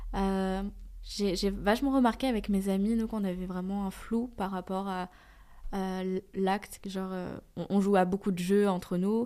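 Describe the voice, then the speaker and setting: On a very clean recording with a silent background, a woman speaks at a medium pitch in a dark, mellow tone with monotone, flat intonation. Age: 20s. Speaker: interviewee sharing testimony. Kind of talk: testimony.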